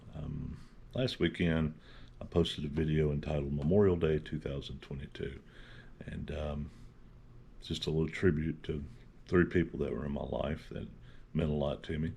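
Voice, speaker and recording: A man's very deep, low pitch with vocal fry and a dark, mellow tone, fairly even intonation, a moderate pace and long, frequent pauses. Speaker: channel host. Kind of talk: casual talk to camera.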